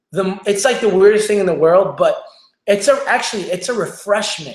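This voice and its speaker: Speaking in an animated tone at a high pitch, a man is heard with audible room echo. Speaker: online show host, business coach. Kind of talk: livestream motivational talk. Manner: fast.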